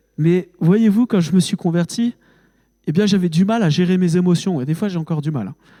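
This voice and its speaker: A man's high-pitched, dark and mellow voice with a strong Haute-Marne accent, moderate pace and ordinary pitch variation, in a dry, close sound with no echo. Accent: fairly strong rural Haute-Marne. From France, Haute-Marne. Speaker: preacher. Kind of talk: sermon. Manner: emotional, halting with fillers.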